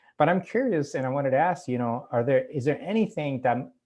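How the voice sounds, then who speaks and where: This man speaks with a Cuban accent. His pace is fairly quick. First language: Spanish. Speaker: author. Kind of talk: casual chat. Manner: halting.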